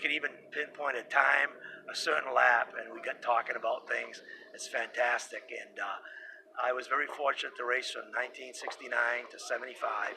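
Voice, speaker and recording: Over noticeable background noise, a man talks at a moderate pace with big swings in loudness. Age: 60s. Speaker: retired snowmobile racer. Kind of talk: casual interview. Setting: event venue. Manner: animated.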